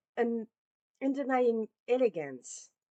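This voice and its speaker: The speaker has a non-native accent and a dark, mellow tone. The background is quiet. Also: woman. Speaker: podcast host. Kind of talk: podcast outro; scripted narration.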